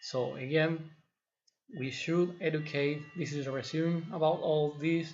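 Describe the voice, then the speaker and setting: This man's intonation stays monotone, flat, and his voice comes across somewhat breathy. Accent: non-native. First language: not English. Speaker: fitness trainer, video blogger. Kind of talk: opinion monologue to camera. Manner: halting, with fillers and repetitions.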